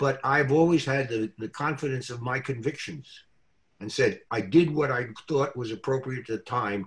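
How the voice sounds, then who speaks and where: Lively in intonation, a man speaks at a medium pitch with a somewhat breathy voice. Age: 90s. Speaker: real estate lawyer and business coach. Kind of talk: interview. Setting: video call. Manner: halting.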